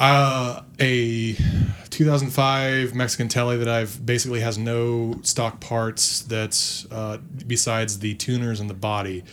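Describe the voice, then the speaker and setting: Here is a man speaking with an American accent. His delivery is fairly slow, with monotone, flat intonation. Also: medium pitch for a man. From Northern Virginia. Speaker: rock band guitarist and singer. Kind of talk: casual chat.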